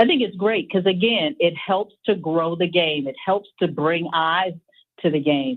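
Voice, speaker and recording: Speaking at a fairly slow pace, a woman uses a normal speaking voice, fairly low in pitch with ordinary pitch variation. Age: 50s. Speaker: college athletics administrator. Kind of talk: radio interview. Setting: radio broadcast.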